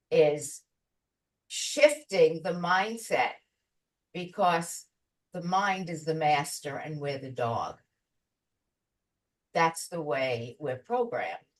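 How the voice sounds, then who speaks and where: A woman's fairly low voice, lively in intonation, at a very slow pace with long, frequent pauses. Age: 80s+. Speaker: life and business coach. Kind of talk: interview answer.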